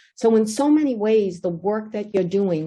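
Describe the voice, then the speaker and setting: Against a quiet background, a woman with an American accent speaks at a moderate pace in a dark, mellow, somewhat breathy tone with ordinary pitch variation. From Somerville, Massachusetts (East Somerville). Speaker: mayoral candidate. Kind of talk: candidate forum statement.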